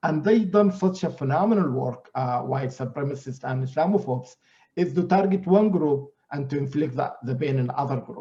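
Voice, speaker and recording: A man with an Arabic accent speaks at a moderate pace in a somewhat breathy, dark, mellow tone, fairly high in pitch, with lively intonation. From Sudan and Greece. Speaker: scholar. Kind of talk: panel discussion.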